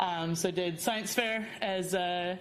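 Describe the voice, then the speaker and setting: In a room with audible echo, a woman with an American accent talks at a medium pitch with ordinary pitch variation. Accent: American, noticeable to New Zealand listeners. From US Midwest, rural Indiana. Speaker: research scientist, biologist. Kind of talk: seminar talk. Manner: hesitant, many fillers and repetitions.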